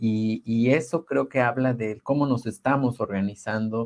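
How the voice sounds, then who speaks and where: A man's medium-pitched voice with fairly even intonation at a moderate pace. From Oaxaca, Sierra Mixe, Mexico. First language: Ayöök (Mixe) (speaking Spanish). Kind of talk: webinar talk. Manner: halting, many repetitions.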